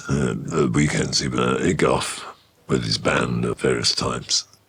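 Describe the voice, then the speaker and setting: A man with a Birmingham accent, fairly slow, with ordinary pitch variation over noticeable background noise. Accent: Birmingham (Brummie) English. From Birmingham, England (Ladywood). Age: 70s. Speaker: musician. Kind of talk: interview storytelling. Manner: conversational, with many fillers.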